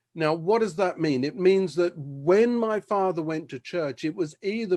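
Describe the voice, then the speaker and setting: A man with a London accent speaks at a moderate pace and a high pitch against a quiet background. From South London, England. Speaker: preacher giving his testimony. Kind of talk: testimony.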